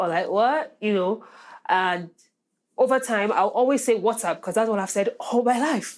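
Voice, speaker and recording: A woman's fairly high voice with an American accent, ordinary pitch variation and a moderate pace, on a very clean recording with a silent background. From Nigeria. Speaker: podcast guest, immigrant student. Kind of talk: casual chat.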